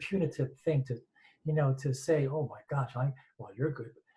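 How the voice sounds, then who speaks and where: A man speaks at a fairly quick pace in a fairly high pitch, with fairly even intonation. His tone is dark and mellow and somewhat breathy. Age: 60s. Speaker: audience member asking a question. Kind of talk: Q&A question from audience. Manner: halting, many repetitions and false starts.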